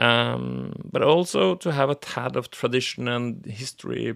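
A man with a Norwegian accent at a fairly slow pace, on a very clean recording with a silent background. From Norway. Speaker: podcast host. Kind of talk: solo podcast monologue. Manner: halting.

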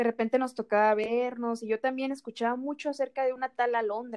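A woman with a high pitch speaks at a fairly quick pace, the sound dry and close with no echo. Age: 20s. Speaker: nutrition student, podcast co-host. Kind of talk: casual chat. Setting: recording separately at home.

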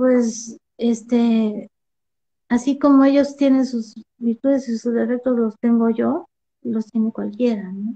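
The pace is fairly slow. Intonation stays fairly even throughout. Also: woman. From Mexico City. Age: 40s. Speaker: poet and painter. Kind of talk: interview.

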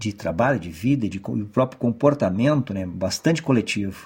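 A man at medium pitch speaks at a moderate pace, his intonation lively and his voice showing vocal fry. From Brazil, Porto Alegre (Rio Grande do Sul). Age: 50s. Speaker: university professor. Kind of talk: oral history testimony. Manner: formal.

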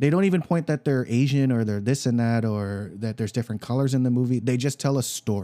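Delivered at a very fast pace with hardly any pauses, the voice has a dark, mellow tone and ordinary pitch variation, recorded very cleanly against a silent background. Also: man, medium pitch for a man. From Filipino-American, US. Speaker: podcast host. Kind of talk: casual chat.

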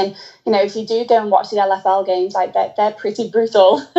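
A woman with a plain, everyday voice, fairly high in pitch, speaking at a fairly quick pace with fairly even intonation. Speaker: personal trainer and fan. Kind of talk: casual interview chat.

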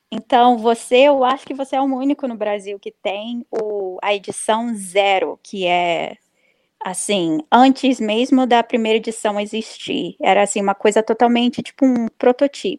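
A woman speaks at a fairly high pitch and fairly slow pace with ordinary pitch variation, in an unremarkable speaking voice. The recording is very clean with a silent background, and the sound is dry and close with no echo. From Brazil. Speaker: comic book writer. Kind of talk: casual interview.

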